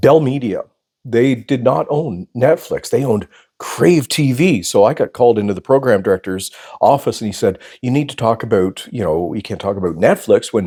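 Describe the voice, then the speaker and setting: With a Canadian accent, a man speaks at a medium pitch and moderate pace, his tone dark and mellow and his intonation lively, in a very clean, dry, close recording with a silent background and no echo. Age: 60s. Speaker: former radio host, photographer and YouTuber. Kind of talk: personal storytelling monologue. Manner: casual, with many fillers.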